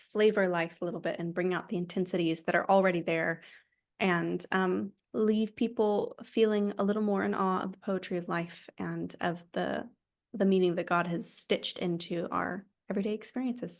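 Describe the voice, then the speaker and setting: In an ordinary speaking voice, a woman talks with an American accent at a moderate pace. Her pitch is medium with ordinary variation, over a quiet background. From United States. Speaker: author. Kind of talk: interview.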